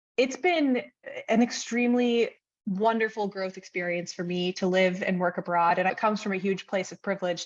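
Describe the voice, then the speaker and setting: A woman in a plain, everyday voice, with an American accent, medium pitch, fairly even intonation and a fairly quick pace, against a quiet background. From US. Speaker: freelance brand strategist. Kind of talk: interview.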